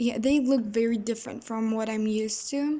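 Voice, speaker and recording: A woman speaks with a non-native accent in a high pitch. Her tone is dark and mellow, her intonation monotone and flat. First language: not English. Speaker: gaming YouTuber. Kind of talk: gameplay commentary. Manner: casual, halting with self-corrections.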